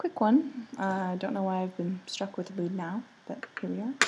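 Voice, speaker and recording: Soft-spoken, a woman talks with lively intonation. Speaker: artist making drawing tutorials. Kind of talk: tutorial. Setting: home, roommates asleep. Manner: soft-spoken, speaking quietly.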